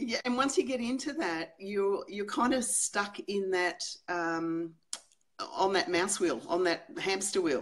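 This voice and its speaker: A woman with an Australian accent speaks at a fairly slow pace and a medium pitch. Her pitch swings very widely. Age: 60s. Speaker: psychologist. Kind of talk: interview. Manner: hesitant, many fillers.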